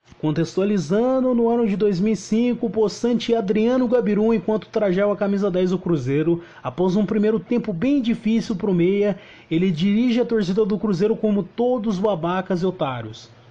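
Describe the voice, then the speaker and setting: A man's high-pitched voice moves with ordinary pitch variation and keeps a very even loudness. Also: moderate pace, hardly any pauses. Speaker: football podcast host. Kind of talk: casual chat.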